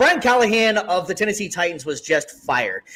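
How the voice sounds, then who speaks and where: Speaking fairly quickly, the man uses a high-pitched voice. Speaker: sports podcast host. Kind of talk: casual sports talk show. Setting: live stream. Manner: halting, stumbles over words.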